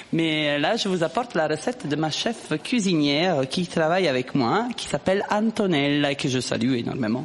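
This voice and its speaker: A woman's very deep, low voice with an Italian accent, very wide pitch swings, a moderate pace, and hardly any pauses, over noticeable background noise. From southern Italy (Puglia). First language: Italian (speaking French). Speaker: cook. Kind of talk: casual chat.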